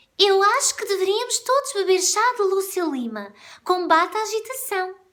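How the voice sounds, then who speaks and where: A woman does a put-on character voice at an extremely high pitch, speaking at a moderate pace. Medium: read story.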